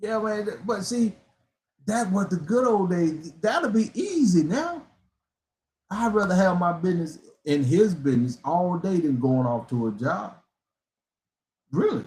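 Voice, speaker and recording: With an animated tone and very wide pitch swings, a man speaks high for a man at a fairly slow pace, leaving long, frequent pauses. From US South. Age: 60s. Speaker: motivational speaker. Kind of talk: motivational live stream talk.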